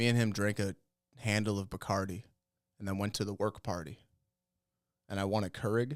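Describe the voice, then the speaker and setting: A man with a fairly low pitch speaks at a fairly quick pace, leaving long, frequent pauses. The recording is very clean, with a silent background. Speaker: comedy podcast co-host. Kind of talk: casual chat. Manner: loud; animated.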